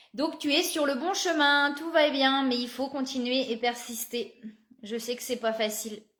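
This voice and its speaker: A woman with a high pitch speaks fairly slowly. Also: ordinary pitch variation. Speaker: psychic card reader. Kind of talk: live card reading guidance. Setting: live video stream.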